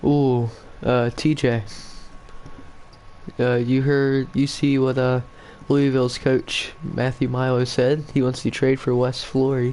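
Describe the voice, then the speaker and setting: A man with an American accent at a medium pitch, very slow with long, frequent pauses, monotone, flat intonation and very even loudness. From Virginia. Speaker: video game commentator. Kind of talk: live commentary.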